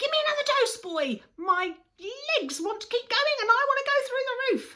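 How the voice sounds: A woman in a put-on character voice speaks at a moderate pace with a raised, projected voice that is shrill and squeaky, pitched extremely high for a woman with very wide pitch swings.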